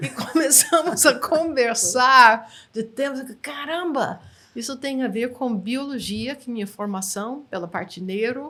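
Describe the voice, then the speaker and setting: Speaking very slowly in an English accent, a woman has a high pitch and a bright, sharp tone. Her intonation is lively, with big swings in loudness. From United States. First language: English (speaking Portuguese). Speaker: NLP trainer. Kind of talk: interview.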